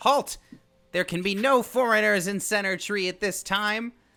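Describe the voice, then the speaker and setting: In a put-on character voice, a man speaks high-pitched at a moderate pace. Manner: stern, commanding.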